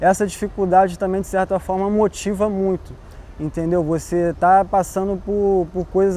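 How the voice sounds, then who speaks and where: A man speaks in a monotone with flat intonation, his high-pitched voice carrying a dark, mellow tone. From Brazil, Baixada Fluminense (Nova Iguaçu, Rio de Janeiro state). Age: 20s. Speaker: visual artist. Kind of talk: interview. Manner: casual, slangy.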